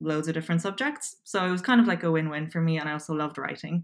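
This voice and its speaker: A very clean recording of a woman's fairly low voice, background silent. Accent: Irish. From Poland, raised in Dublin, Ireland. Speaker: copywriter. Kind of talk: casual interview.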